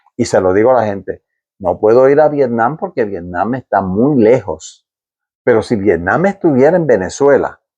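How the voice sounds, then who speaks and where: This man has a dark, mellow tone and a medium pitch with very wide pitch swings. The background is quiet. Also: moderate pace. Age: 70s. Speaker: war veteran. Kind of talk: interview. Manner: halting, with many repetitions.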